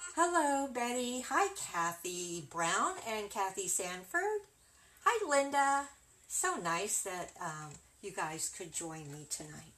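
A woman speaks at a very slow pace in a warm tone. Her pitch swings very wide and her loudness shifts greatly. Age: 60s. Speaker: craft video creator. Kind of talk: tutorial. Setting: livestream. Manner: warm and chatty. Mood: friendly, relaxed.

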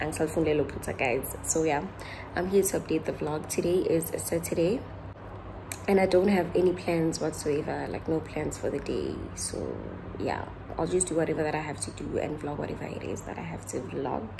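Over clear background noise, a woman with a low pitch and vocal fry talks at a fairly quick pace with lively intonation.

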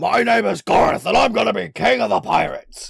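This man puts on a raspy character voice. He talks at a fairly quick pace. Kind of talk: theatrical. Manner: boastful, swaggering.

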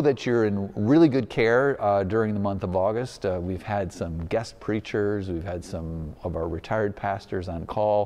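A man at a fairly slow pace with ordinary pitch variation. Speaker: pastor. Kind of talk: church announcement address. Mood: warm and upbeat. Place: church. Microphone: lapel.

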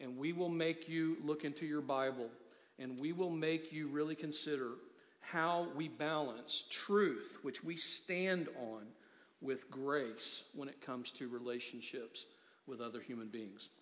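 A man talks at a fairly slow pace with ordinary pitch variation. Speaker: pastor. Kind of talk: sermon. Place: church.

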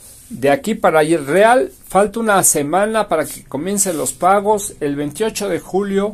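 Lively intonation runs through this man's speech. His pace is very slow. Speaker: pensions news youtuber. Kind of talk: news commentary.

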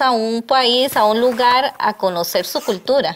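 Speaking at a very slow pace, a woman uses a high pitch with ordinary pitch variation. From Costa Rica, San José; Costa Rica. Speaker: tourism entrepreneur; interview guest. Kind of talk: interview. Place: studio. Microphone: lapel.

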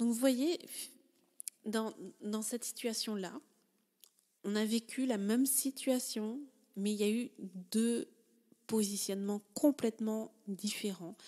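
A woman speaks very slowly with long, frequent pauses. Her fairly high voice has a dark, mellow tone and ordinary pitch variation. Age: 30s. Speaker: life coach and podcaster. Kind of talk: personal storytelling monologue. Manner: halting, many filler sounds.

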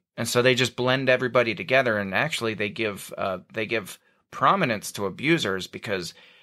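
Speaking in a Northern US accent, a man uses a medium pitch and a bright, sharp tone. His intonation is lively, his pace fairly quick, and the recording is very clean with a silent background. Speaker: podcast host. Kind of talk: casual interview. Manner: sarcastic.

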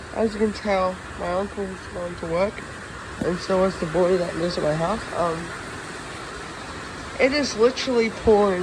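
Noticeable background noise runs under a woman who speaks with fairly even intonation and long, frequent pauses. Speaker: home vlogger. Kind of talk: casual vlog chat. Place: rain. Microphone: phone near.

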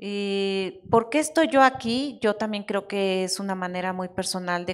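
A woman's voice at medium pitch, with faint music in the background. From Mexico. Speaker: technology executive; panelist. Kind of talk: panel discussion at a conference. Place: hall.

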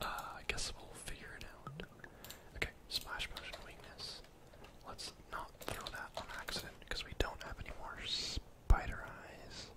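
A soft-spoken man is whispering. He goes at a fairly slow pace. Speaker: gamer streamer. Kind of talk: gameplay commentary. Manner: soft close-mic ASMR whisper. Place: home room.

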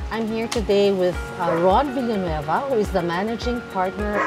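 A woman talks at a fairly slow pace. Clear music plays behind her. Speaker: show host. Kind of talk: host intro to camera, then interview questions. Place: garden. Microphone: lapel.

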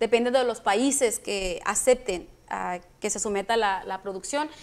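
A woman at a fairly high pitch, with ordinary pitch variation and a moderate pace. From Mexico (Michoacán). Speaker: film producer. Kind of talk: interview. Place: studio.

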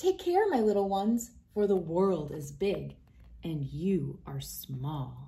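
A woman puts on a character voice with a dark, mellow tone and vocal fry. She talks at a slow pace, fairly low in pitch, with big pitch swings.

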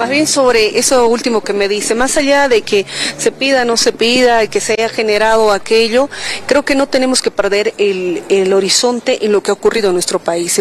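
A woman talks at a moderate pace with very even loudness. The sound is dry with no echo, over light background noise. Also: ordinary pitch variation. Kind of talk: press interview answer. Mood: firm, argumentative. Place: street. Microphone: handheld.

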